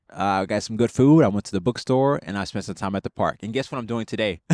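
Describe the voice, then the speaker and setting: A man with an ordinary speaking voice talks at a fairly quick pace and a medium pitch, with lively intonation over a quiet background. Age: 20s. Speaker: vlogger and spiritual director in training. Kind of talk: casual reflective vlog. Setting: outdoors at a park. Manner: casual with many fillers and restarts.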